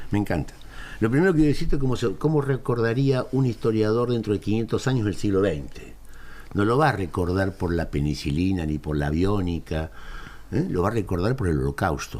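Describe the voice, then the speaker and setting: With very wide pitch swings, a man speaks at a fairly quick pace in a fairly low voice. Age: 70s. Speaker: historian. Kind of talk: interview.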